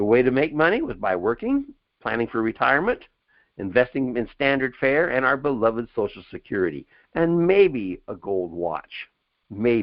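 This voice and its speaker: The man's pitch is medium, with very wide swings. His pace is moderate. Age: 70s. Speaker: webinar presenter on investing. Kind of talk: webinar presentation. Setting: online webinar. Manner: casual, conversational.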